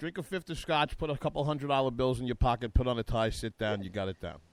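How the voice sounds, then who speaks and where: Speaking at a very fast pace with hardly any pauses, a man with a New York accent uses lively intonation, recorded with a dry, close sound with no echo. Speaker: talk radio co-host. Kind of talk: comedic post-debate talk show.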